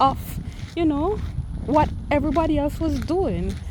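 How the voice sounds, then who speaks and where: A woman speaks with a Jamaican accent. Noticeable background noise is present. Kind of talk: casual talk to camera. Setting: outdoors.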